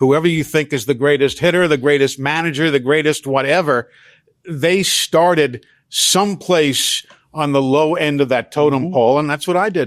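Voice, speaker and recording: Moderate in pace, the speaker talks with an American accent. The pitch variation is ordinary. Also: man. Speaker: veteran sports broadcaster, radio play-by-play announcer. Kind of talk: interview answer, conversational storytelling. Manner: relaxed, fluent, polished.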